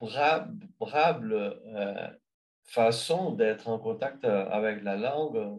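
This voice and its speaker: A man with a Brazilian accent, medium in pitch, very slow, with lively intonation. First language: Brazilian Portuguese (speaking French). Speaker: language learner. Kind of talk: interview answers. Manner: halting, many hesitations.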